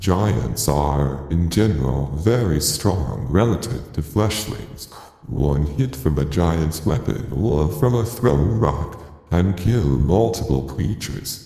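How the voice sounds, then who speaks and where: Using a put-on character voice, a man speaks with very deep, low pitch at a fairly slow pace. There is clear echo. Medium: actual play. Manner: measured, formal.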